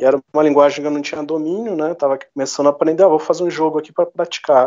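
A man's voice sits fairly high in pitch, with a dark, mellow tone. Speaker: history teacher and game developer. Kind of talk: interview conversation.

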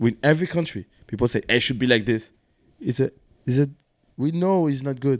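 A man talks at a fairly quick pace with a medium pitch and ordinary pitch variation. He leaves long, frequent pauses. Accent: French. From France. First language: French. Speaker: dancer, battle host and magazine founder. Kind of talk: casual chat.

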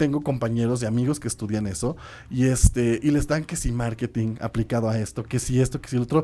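A man with a Mexican accent speaks at medium pitch in a dark, mellow tone with ordinary pitch variation, on a very clean recording with a silent background. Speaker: radio host. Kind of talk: casual radio chat. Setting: radio studio. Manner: animated.

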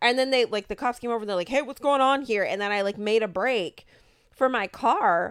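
In a very clean recording with a silent background, a woman with an American accent uses an ordinary speaking voice, fairly high in pitch, at a fairly quick pace with ordinary pitch variation. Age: 30s. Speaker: podcast co-host and small business owner. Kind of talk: casual chat.

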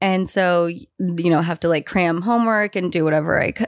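Speaking in an unremarkable speaking voice with an American accent, a woman goes at a fairly quick pace with fairly low pitch and ordinary pitch variation. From US West Coast, San Francisco. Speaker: fashion designer. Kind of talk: casual chat.

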